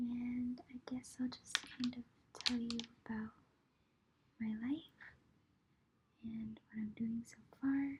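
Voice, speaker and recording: A woman whispers at a very slow pace with long, frequent pauses. Her loudness swings widely over noticeable background noise. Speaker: ASMR creator. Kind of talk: whisper ramble. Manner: whispering.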